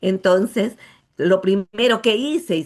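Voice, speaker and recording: Her voice sitting at a medium pitch, a woman speaks fairly slowly. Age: 60s. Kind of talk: testimony.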